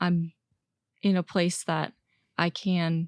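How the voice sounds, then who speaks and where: A woman with an American accent speaks in a flat monotone at a fairly low pitch, in a dry, close sound with no echo on a very clean recording with a silent background. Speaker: college swimmer and graduate student. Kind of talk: interview conversation. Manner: halting, with fillers.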